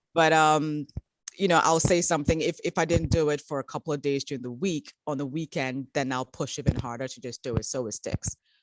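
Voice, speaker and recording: A woman's very deep, low voice at a fairly quick pace, with a dry, close sound and no echo. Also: ordinary pitch variation. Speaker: children's book publisher. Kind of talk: interview. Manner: fast; halting, many repetitions.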